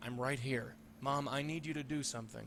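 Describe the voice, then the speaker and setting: Doing a put-on character voice at a medium pitch, a man talks at a fairly quick pace over clear background noise. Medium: video game. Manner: casual, familiar.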